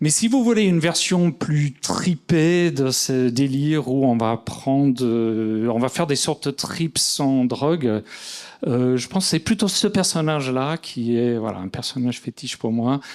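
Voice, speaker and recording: Here a man talks at a fairly slow pace with a fairly high pitch. His intonation is lively. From US, California (Silicon Valley). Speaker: artist. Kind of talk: conference talk. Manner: hesitant, many fillers.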